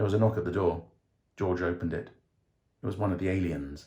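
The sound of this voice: At a fairly quick pace, a man talks in a low pitch with a dark, mellow tone and ordinary pitch variation.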